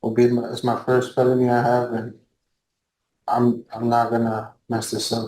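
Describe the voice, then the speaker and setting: A quiet man with a Spanish accent speaks at a medium pitch and a moderate pace, his dark, mellow tone held in a monotone, flat intonation. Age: 20s. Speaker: defendant. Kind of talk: court testimony. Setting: courtroom. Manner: halting, repeats words.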